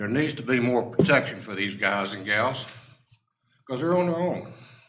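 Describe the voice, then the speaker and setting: With lively intonation and big swings in loudness, a man speaks amid audible room echo. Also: medium pitch for a man, moderate pace. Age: 80s+. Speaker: resident making public comment. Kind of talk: public comment at council meeting. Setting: town council meeting.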